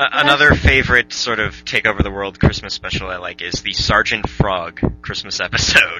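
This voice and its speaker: Speaking in an ordinary speaking voice, a man talks at a moderate pace and a fairly low pitch, with lively intonation and hardly any pauses. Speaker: podcast host. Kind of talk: casual chat.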